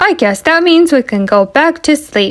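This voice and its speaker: Putting on a character voice, a woman speaks at a moderate pace with a high pitch. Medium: read story. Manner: slow, mild, drowsy.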